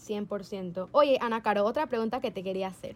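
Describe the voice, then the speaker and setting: A woman's fairly high, animated voice, lively in intonation, at a fairly slow pace in a very clean recording with a silent background. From Panama. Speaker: podcast co-host and musical theatre performer. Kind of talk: casual chat.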